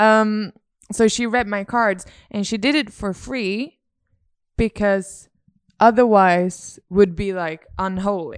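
In an American accent, a woman with a medium pitch speaks very slowly, pausing long and often. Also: ordinary pitch variation. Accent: American-sounding English. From Sweden. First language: Swedish. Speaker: podcast co-host. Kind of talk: casual chat.

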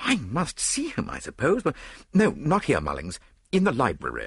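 A man does a put-on character voice with vocal fry and a husky, rough edge, his pitch swinging very widely at a moderate pace. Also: medium pitch for a man, fairly bright tone.

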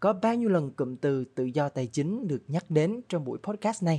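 Against a quiet background, a man with a dark, mellow tone speaks at a moderate pace with lively intonation. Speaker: podcast host. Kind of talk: casual panel discussion.

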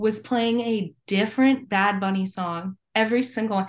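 In a plain, everyday voice, a woman with an American accent talks at a fairly slow pace and medium pitch, her intonation fairly even over a quiet background. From Virginia, US. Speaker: independent musician. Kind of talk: casual interview. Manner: casual, filler-heavy.

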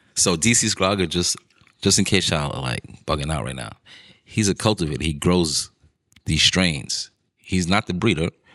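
Against a quiet background, a man with a New York accent speaks at a very deep, low pitch with vocal fry and a bright, sharp tone. He keeps a moderate pace with long, frequent pauses. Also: ordinary pitch variation. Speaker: podcast host. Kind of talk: casual chat.

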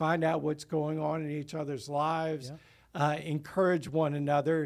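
In a very clean recording with a silent background, a man with a normal speaking voice talks at a moderate pace and a fairly high pitch. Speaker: lead pastor. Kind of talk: casual chat.

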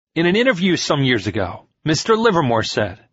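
The pitch swings very widely. There is a somewhat breathy quality to the voice. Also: man. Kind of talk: literary audiobook reading of a 1920s financial interview, formal narration. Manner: measured, steady, formal and even-paced narration; clear, authoritative, lightly expressive.

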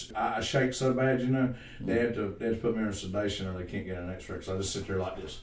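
The speech comes at a very fast pace with hardly any pauses. Noticeable background noise and audible room echo surround it. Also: man, fairly low pitch for a man. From Staunton Bridge. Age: 40s. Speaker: podcast guest. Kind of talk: casual chat. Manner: animated.

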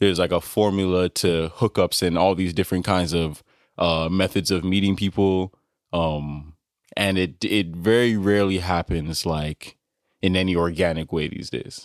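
In a very clean recording with a silent background and a dry, close sound with no echo, a man with an American accent speaks at a moderate pace, his very deep, low pitch carried in fairly even intonation. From US, Nigerian parents. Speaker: data annotator and musician. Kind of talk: casual chat.

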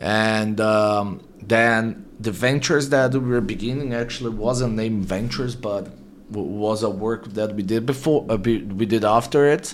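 With a Portuguese accent, a medium-pitched man talks at a moderate pace, his intonation fairly even and hardly any pauses between words. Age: 30s. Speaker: marketing agency CEO. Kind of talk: interview.

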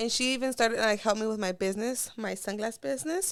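At a very fast pace, a woman with an American accent speaks at a fairly high pitch in a very clean recording with a silent background. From Los Angeles. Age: 20s. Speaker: YouTuber. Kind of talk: casual chat.

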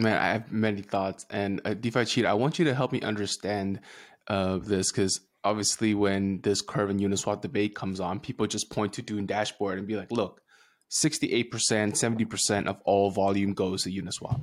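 Captured in a very clean recording with a silent background, a plain, everyday voice belongs to a man with a fairly low pitch who speaks at a fairly quick pace with fairly even intonation. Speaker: podcast co-host. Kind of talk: casual interview chat.

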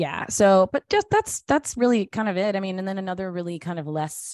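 In a normal speaking voice, a woman with an American accent talks at a fairly quick pace, her pitch fairly low with ordinary pitch variation. The sound is dry and close with no echo, over a quiet background. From US South. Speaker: actor, singer and social media creator. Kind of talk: casual chat.

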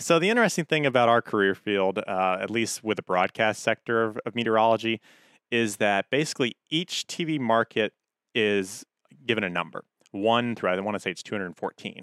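A man with an American accent speaks at a moderate pace and medium pitch, with ordinary pitch variation, in a normal speaking voice. The recording is very clean, with a silent background and a dry, close sound with no echo. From Hampton, Virginia. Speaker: TV meteorologist. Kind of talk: casual interview.

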